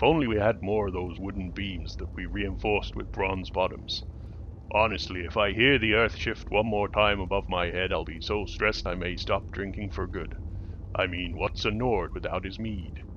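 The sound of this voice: In a put-on character voice, a man talks at a moderate pace with a fairly low pitch. Clear background noise runs underneath.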